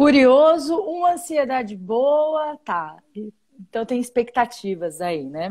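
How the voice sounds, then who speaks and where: Very slow speech from a woman, high in pitch, with very wide swings in pitch. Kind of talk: live stream interview host.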